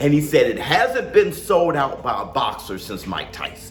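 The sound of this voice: A man talks at a fairly slow pace and medium pitch, with big pitch swings. Room echo is audible.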